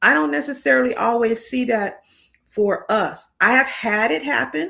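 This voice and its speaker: A woman with an American accent speaks at a moderate pace in a fairly high voice with a bright, sharp tone. Her pitch swings very widely, with vocal fry. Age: 60s. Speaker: career coach. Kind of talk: interview conversation.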